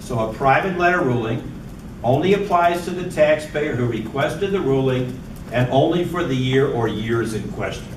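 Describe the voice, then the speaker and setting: Amid noticeable background noise and audible room echo, a man talks at a moderate pace in a fairly high pitch with lively intonation. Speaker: professor. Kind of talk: lecture.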